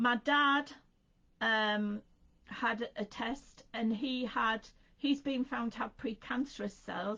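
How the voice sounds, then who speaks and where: With an English accent, a woman speaks in a bright, sharp tone. She goes at a very slow pace with ordinary pitch variation. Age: 60s. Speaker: craft presenter. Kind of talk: casual chat. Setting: live stream.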